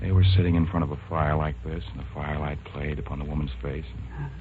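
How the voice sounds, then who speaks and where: Over noticeable background noise, a man with a very deep, low pitch talks at a fairly quick pace. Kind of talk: radio drama, acted dialogue.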